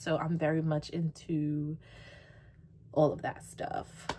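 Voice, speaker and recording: With an American accent, a woman uses a normal speaking voice at a moderate pace, her pitch fairly low. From New York. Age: 20s. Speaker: YouTuber. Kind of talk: casual Q&A vlog. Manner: casual, filler-heavy.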